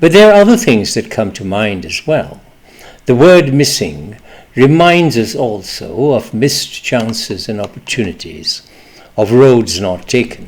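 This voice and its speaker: Speaking at a fairly slow pace, a man with a medium pitch makes very wide pitch swings. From East Pakistan (now Bangladesh). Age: 70s. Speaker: memoir storyteller. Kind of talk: personal memoir reading.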